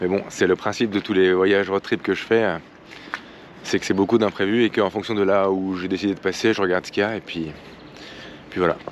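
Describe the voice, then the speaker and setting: Over noticeable background noise, a man with a fairly low pitch talks at a fairly quick pace in monotone, flat intonation, with long, frequent pauses. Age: 30s. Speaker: travel vlogger. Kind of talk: travel vlog. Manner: halting, many fillers.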